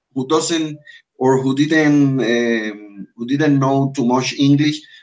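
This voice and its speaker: This man speaks at a medium pitch with a Spanish accent. His pitch variation is ordinary. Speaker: English teacher. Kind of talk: online language class. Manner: halting, many fillers and restarts.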